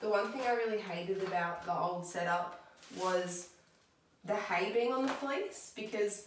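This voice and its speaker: A woman talks at a moderate pace in a medium-pitched voice. Audible room echo and noticeable background noise fill the recording. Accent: Australian. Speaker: pet vlogger. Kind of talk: casual vlog tutorial. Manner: loud.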